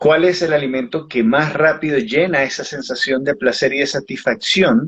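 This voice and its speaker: The man's voice sits fairly high in pitch, somewhat breathy, and his intonation is lively. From Uruguay, Montevideo. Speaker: author and biodecoding therapist. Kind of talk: interview.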